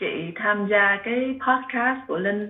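A woman is speaking. Her pace is very slow. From Vietnam. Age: 40s. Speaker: calligraphy teacher. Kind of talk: interview. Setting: video call.

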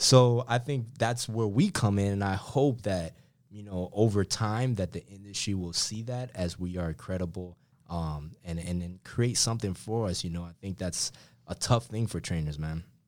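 A man with an American accent speaks at a moderate pace, his pitch fairly low with ordinary variation. He has an ordinary speaking voice, captured on a very clean recording with a silent background. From Miami, Florida. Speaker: strength coach. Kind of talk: casual interview.

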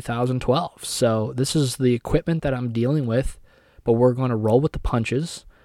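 Male speech, dry and close with no echo, on a very clean recording with a silent background. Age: 20s. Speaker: podcast host. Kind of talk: casual monologue. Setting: home recording room. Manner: hesitant, filler-heavy.

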